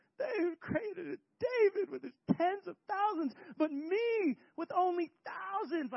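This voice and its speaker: A put-on character voice, extremely high in pitch and whiny in tone, at a fairly slow pace. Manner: whiny, complaining.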